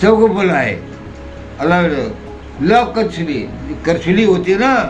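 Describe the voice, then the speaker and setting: A man's high voice with lively intonation, over music in the background. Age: 80s+. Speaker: retired police recruit and teacher. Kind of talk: interview answer.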